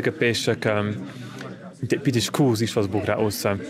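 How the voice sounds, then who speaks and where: The talking is fairly quick, with noticeable background noise throughout. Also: man. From Switzerland, Graubünden (Lumbrein). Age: 30s. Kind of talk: personal testimony interview.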